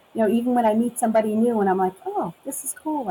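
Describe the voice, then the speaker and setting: A woman in a New York accent at a very fast pace, with lively intonation amid noticeable background noise. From Brooklyn and Long Island, New York. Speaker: customs officer turned supply chain worker, Memphis transplant. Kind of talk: casual interview chat about accents.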